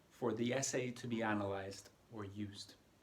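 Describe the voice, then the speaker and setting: Somewhat breathy male speech in a North American accent at a fairly slow pace. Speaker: English exam tutor. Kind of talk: tutorial.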